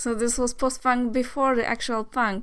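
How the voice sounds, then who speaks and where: A woman with a Polish accent, fairly high in pitch, at a moderate pace. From Poland. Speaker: music vlogger. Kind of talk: casual album review vlog. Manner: hesitant, many fillers.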